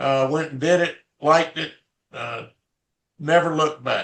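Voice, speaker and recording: A man with a Southern US accent and a fairly high pitch. He speaks at a fairly slow pace. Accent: Southern US (Georgia). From US South, Atlanta, Georgia. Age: 70s. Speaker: retired business founder. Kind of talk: casual interview.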